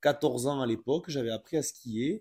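A man with a normal speaking voice talks at a fairly high pitch and a fairly slow pace on a very clean recording with a silent background. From France, from a city. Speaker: ski instructor. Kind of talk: casual interview.

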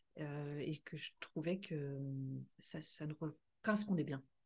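This woman's voice is very deep and low in pitch. It sounds somewhat breathy. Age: 50s. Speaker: podcast co-host, finance director and property investor. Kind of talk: casual chat.

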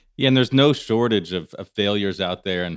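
A man speaks at a fairly quick pace and fairly low pitch with ordinary pitch variation. It is a normal speaking voice. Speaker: podcast host. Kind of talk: interview, business podcast conversation.

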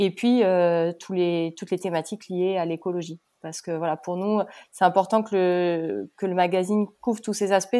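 Speaking in a normal speaking voice, a woman keeps a moderate pace at medium pitch with fairly even intonation. The recording is very clean, with a silent background. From Pau, southwest France. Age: 30s. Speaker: magazine co-founder. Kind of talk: casual chat.

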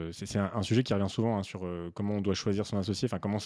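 This man talks at a very fast pace in a fairly low pitch, with fairly even intonation and a dark, mellow tone. The recording is very clean, with a silent background. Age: 30s. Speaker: podcast host and business coach. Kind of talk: casual interview conversation.

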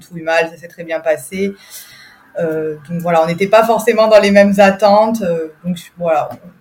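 Noticeable background noise behind a woman talking at a moderate speed in a mid-range pitch. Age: 30s. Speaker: mother sharing birth story. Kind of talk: testimony. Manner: hesitant, many fillers.

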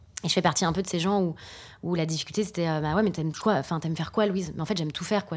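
A woman speaks with fairly low pitch and fairly even intonation. The recording is very clean, with a silent background. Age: 30s. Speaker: sex therapist and couples therapist. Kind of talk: casual interview. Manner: halting, many hesitations.

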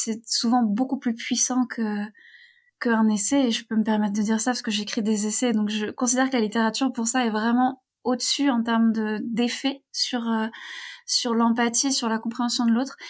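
A woman speaks in a fairly high voice with monotone, flat intonation. The recording is very clean, with a silent background. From western France (Brittany, near Rennes). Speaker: feminist author and traveler. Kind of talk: interview.

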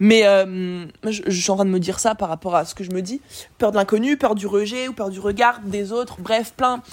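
A woman speaks at a moderate pace in a medium pitch, with ordinary pitch variation and big swings in loudness. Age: 20s. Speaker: business coach and podcaster. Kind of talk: solo monologue, unscripted personal reflection. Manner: casual, slangy, filler-heavy.

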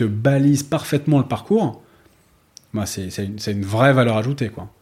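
Somewhat breathy, a man speaks at a moderate pace and medium pitch. His pitch varies in an ordinary way. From France, Paris. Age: 40s. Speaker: startup co-founder. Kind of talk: interview. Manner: halting, many fillers.

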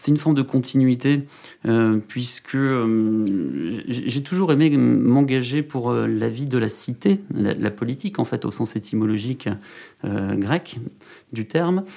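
With lively intonation, a man speaks very slowly at a medium pitch and in a dark, mellow tone. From Landes, southwest France. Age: 30s. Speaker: mayor and regional politician. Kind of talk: interview.

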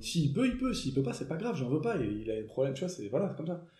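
Audible room echo carries a man's fairly high voice as his pitch swings very widely. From southern France. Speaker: motorcycle traveller. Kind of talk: casual chat. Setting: dinner table.

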